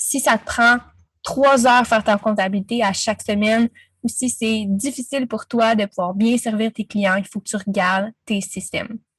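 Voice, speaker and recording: A woman's fairly high, somewhat breathy voice has a dry, close sound with no echo. She talks at a moderate pace with fairly even intonation. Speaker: business coach. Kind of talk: interview. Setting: podcast.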